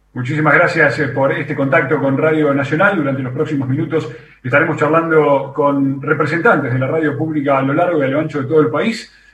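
Speaking at a fairly quick pace with hardly any pauses, a man uses a fairly high pitch and fairly even intonation. Noticeable background noise and audible room echo are present. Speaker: radio host. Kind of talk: radio hosting. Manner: formal.

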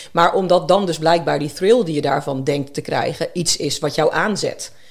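A woman's voice with ordinary pitch variation. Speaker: nutrition psychologist. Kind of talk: interview conversation.

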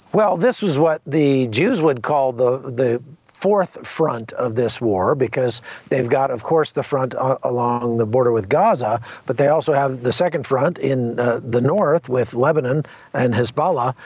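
Against noticeable background noise, a man speaks at a medium pitch with very even loudness. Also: ordinary pitch variation. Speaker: war correspondent. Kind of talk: on-location report. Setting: remote call from outdoors.

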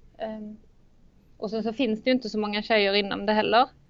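A woman speaks in a fairly high voice. Her intonation stays flat and monotone. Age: 30s. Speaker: engineering student. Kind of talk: interview. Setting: studio. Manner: halting.

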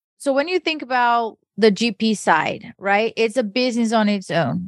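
A woman with a Portuguese accent speaks at a fairly slow pace against a quiet background. Her pitch is fairly high, with ordinary pitch variation. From Brazil. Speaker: podcast co-host. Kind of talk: casual interview chat.

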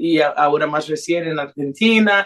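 Her voice is fairly low for a woman, with ordinary pitch variation. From Brazilian-Honduran, raised in several countries. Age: young. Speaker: singer. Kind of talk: radio interview. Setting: remote call to radio studio. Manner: hesitant, many fillers.

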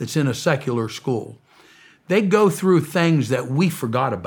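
A man with a fairly high pitch and an unremarkable speaking voice uses lively intonation. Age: 60s. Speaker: preacher and humanitarian founder. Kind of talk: interview testimony. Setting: studio.

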